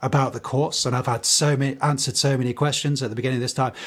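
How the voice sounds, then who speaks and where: The man's voice sits at a medium pitch. It sounds somewhat breathy. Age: 30s. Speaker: teacher and podcast co-host. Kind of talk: casual chat.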